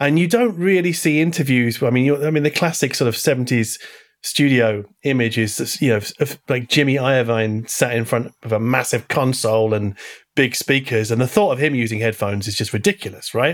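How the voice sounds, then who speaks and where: Speaking in a plain, everyday voice, a man keeps a medium pitch and a fairly quick pace, with ordinary pitch variation. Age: 40s. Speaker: podcast host. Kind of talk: interview.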